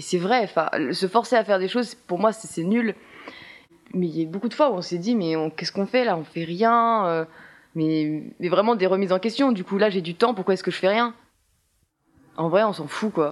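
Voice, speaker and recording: At a moderate pace, a woman talks at medium pitch with ordinary pitch variation and long, frequent pauses. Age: 20s. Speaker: theatre student. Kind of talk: casual interview. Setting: apartment with windows open. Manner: hesitant, many fillers.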